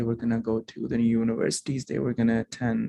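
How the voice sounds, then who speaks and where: With a non-native accent, a man speaks at a medium pitch and moderate pace in a dark, mellow tone, the sound dry and close with no echo. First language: not English. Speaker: alumni speaker sharing immigrant story. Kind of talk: testimony speech. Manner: formal.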